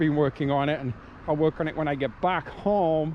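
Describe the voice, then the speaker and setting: Speaking at a fairly quick pace, a man uses an ordinary speaking voice pitched fairly high. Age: 60s. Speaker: hiking vlogger. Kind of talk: casual vlog narration while hiking. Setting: outdoors on trail.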